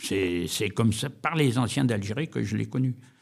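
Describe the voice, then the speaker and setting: Very wide pitch swings and vocal fry mark a man speaking at a moderate pace on a very clean recording with a silent background. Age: 80s+. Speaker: war veteran. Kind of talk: interview testimony. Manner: halting.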